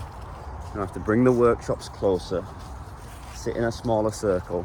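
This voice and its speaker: A fairly low-pitched man with a northern English accent, ordinary pitch variation, and a fairly quick pace. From northern England. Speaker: dog trainer vlogger. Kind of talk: vlog. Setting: filming in quiet places. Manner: quieter than usual.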